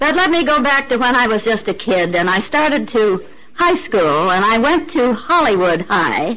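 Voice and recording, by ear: With an American accent, a woman speaks at a moderate pace in a fairly high pitch, her bright, sharp tone marked by big pitch swings.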